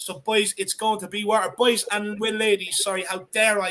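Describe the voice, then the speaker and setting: With an Irish accent, a man speaks at a fairly quick pace in an animated, bright, sharp tone, high in pitch for a man. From Ireland. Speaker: football fan channel host. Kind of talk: live stream chat.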